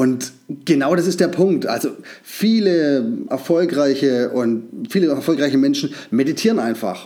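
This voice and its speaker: This man's fairly high voice carries lively intonation at a moderate pace. He leaves long, frequent pauses. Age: 40s. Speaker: podcast host. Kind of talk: casual solo monologue. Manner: halting, many filler sounds.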